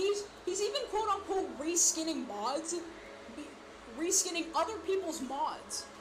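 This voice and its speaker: Amid audible room echo, a woman speaks at a moderate pace in an extremely high voice with lively intonation. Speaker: community member sharing experience. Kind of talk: personal testimony. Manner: halting, stumbling.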